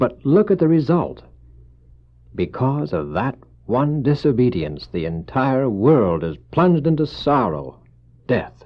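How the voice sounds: In a put-on character voice, a man speaks slowly at a medium pitch, with big swings in pitch.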